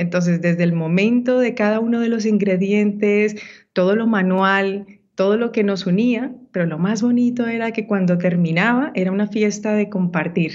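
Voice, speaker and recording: A woman talks in a normal speaking voice at a medium pitch. Her intonation is fairly even and her pace moderate. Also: very even loudness. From Colombia, Ibagué (Andean region). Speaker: women's entrepreneurship mentor. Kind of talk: interview.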